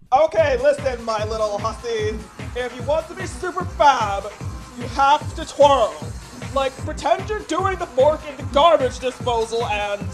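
Clear music plays in the background as a put-on character voice speaks at a fairly high pitch and a moderate pace. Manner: exaggerated, theatrical.

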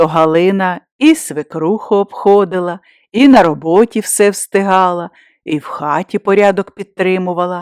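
Against quiet surroundings, the text is read aloud plainly.

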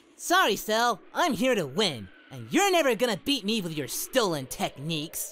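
This put-on character voice sits at a fairly high pitch and swings very widely up and down at a moderate pace, over a very clean recording with a silent background. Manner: easygoing, goofy, cheerful.

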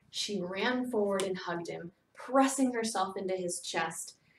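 Plain reading aloud makes up the clip. Its pitch rises and falls in an ordinary way.

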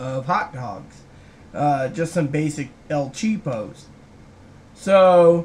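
Light background noise sits behind a man who speaks very slowly and is somewhat breathy. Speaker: vlogger. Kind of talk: casual vlog chat. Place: home room. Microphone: webcam.

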